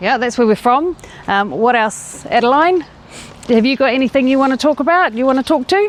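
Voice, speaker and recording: A woman with a New Zealand accent speaks at a fairly quick pace, high in pitch and lively in intonation. Her loudness stays very even while background noise remains noticeable. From New Zealand, Rotorua. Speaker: family cycling vlogger, parent. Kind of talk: casual chat.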